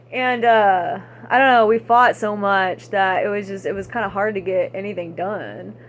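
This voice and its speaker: With an American accent, a woman is talking. Her pace is moderate. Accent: Texan, stronger when angry and with age. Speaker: vlogger. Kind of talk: casual monologue vlog. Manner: rambling, halting with many fillers.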